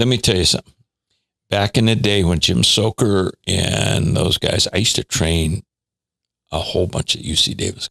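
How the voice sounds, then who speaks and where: The voice moves through an ordinary range of pitch at a moderate pace, with a dry, close sound and no echo. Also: man. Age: 80s+. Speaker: strength and conditioning coach. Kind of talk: casual interview chat.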